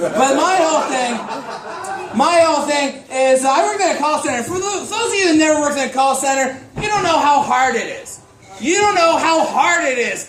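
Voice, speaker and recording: Loud and extremely high-pitched, a man talks at a moderate pace with lively intonation and hardly any pauses, amid noticeable background noise and audible room echo. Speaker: stand-up comedian. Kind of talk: stand-up. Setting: stage with audience.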